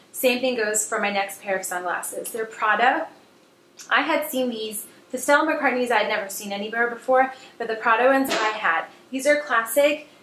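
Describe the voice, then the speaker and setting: A woman's fairly high voice with ordinary pitch variation over noticeable background noise. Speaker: fashion vlogger. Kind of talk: casual haul video monologue. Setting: home video recording under bright lights. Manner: fast; hesitant with fillers.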